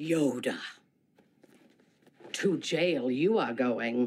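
A put-on character voice at a low-to-middle pitch. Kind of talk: odd inverted syntax.

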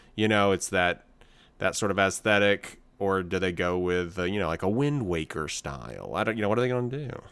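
With a plain, everyday voice, a man talks at a fairly quick pace and a fairly low pitch with ordinary pitch variation, on a very clean recording with a silent background. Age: 40s. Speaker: podcast co-host. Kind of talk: casual chat.

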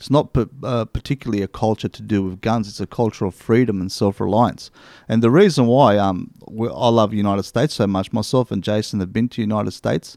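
A man speaks with an Australian accent at a fairly low pitch, very fast and with hardly any pauses. His pitch varies in an ordinary way, his loudness swings widely, and the recording is very clean with a silent background. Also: dry, close sound with no echo. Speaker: hunting podcast co-host. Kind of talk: casual chat.

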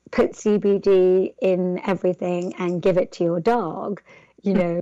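Speaking at a fairly slow pace, a woman talks with an English accent. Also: medium pitch for a woman, ordinary pitch variation. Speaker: entrepreneur. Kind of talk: interview. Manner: hesitant, many fillers.

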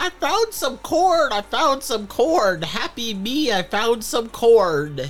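A put-on character voice with fairly high pitch, very wide pitch swings and a fairly slow pace, over faint music in the background. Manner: gleeful, sing-song.

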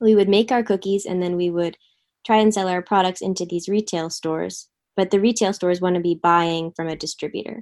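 This woman has an ordinary speaking voice with an American accent. Her pitch is medium and her pace fairly quick. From US Northeast, Philadelphia area. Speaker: food distribution startup co-founder. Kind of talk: interview. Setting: video call.

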